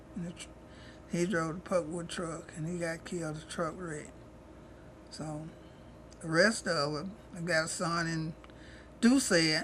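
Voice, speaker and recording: A woman with an East Texas accent, a fairly low pitch, a bright, sharp tone and a fairly slow pace, plus audible room echo. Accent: rural East Texas Southern. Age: 70s. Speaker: retired cook, elderly interviewee. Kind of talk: interview, life story. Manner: casual, conversational.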